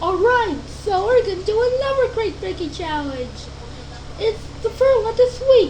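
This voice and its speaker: Against clear background noise, a cartoonish character voice squeaks out at an extremely high pitch. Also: moderate pace. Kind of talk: show host intro.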